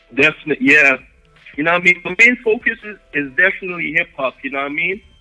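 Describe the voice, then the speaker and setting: Over music in the background, a man with a high pitch talks at a very fast pace. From Jamaica, Kingston. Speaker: hip-hop and reggae artist. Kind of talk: casual interview.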